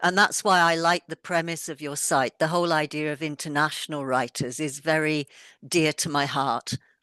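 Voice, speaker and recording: A woman talks at a moderate pace in a very deep, low voice with a bright, sharp tone and fairly even intonation. The sound is dry and close with no echo, against a quiet background. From mobile childhood, army families abroad. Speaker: author, former head teacher. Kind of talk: interview.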